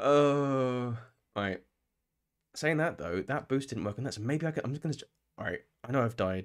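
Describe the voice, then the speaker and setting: A man with a British accent speaks at medium pitch and a moderate pace, taking long, frequent pauses. The background is quiet. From UK. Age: 30s. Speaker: gaming streamer. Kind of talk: live gameplay commentary. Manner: animated. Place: home room. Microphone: studio mic.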